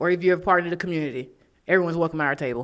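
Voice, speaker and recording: A woman with an American accent has a bright, sharp tone. Her pitch is fairly low, with ordinary pitch variation. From Jacksonville, Florida. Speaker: podcast co-host. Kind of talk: casual chat.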